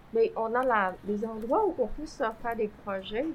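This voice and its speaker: In a Vietnamese accent, a woman speaks at a fairly slow pace. Her high pitch shows ordinary variation. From Vietnam, then Quebec from age 15. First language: Vietnamese (speaking French). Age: 50s. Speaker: former refugee, community member. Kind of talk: personal testimony in conversation.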